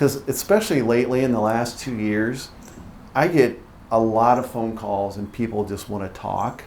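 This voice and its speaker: A man speaks with a Midwestern US accent. His pitch is medium and his intonation fairly even. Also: moderate pace. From northern Ohio. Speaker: real estate investor. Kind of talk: casual chat.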